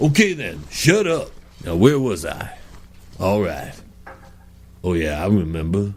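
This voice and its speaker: Putting on a gruff character voice, a man with a fairly low pitch speaks at a fairly slow pace, swinging very widely in pitch and leaving long, frequent pauses. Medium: comedy sketch. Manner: gruff, impatient.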